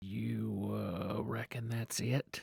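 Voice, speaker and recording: Put-on character voice from a man, raspy and very deep and low, with very wide pitch swings. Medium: read story. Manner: drawling, hesitant.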